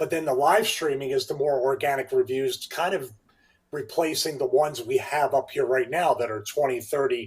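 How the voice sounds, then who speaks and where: This man talks at a moderate pace, his fairly high pitch rising and falling in an ordinary way. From Philadelphia area (Delaware County), US. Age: 50s. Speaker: fitness trainer, YouTuber and former pro wrestler. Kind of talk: casual interview chat.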